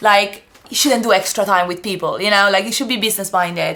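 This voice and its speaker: A woman of medium pitch speaks with an Italian accent and fairly even intonation. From Italy. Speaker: osteopath, former ballet dancer. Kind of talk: podcast interview. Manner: halting, with many false starts.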